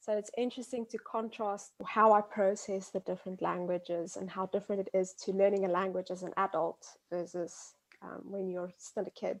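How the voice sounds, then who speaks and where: A woman with an Afrikaans South African accent speaks at a moderate pace and medium pitch, her intonation monotone and flat. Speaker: biology graduate. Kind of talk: interview. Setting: remote call.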